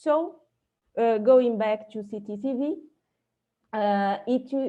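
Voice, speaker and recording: A woman with a non-native accent, a fairly high pitch and a dark, mellow tone, against a quiet background. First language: not English. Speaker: astrophysicist. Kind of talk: conference talk. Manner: halting, many fillers.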